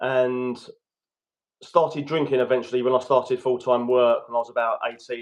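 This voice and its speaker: In a flat monotone, a man at medium pitch speaks at a fairly quick pace. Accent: British. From London, England. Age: 30s. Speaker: guest coach on addiction recovery. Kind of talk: podcast interview, personal story.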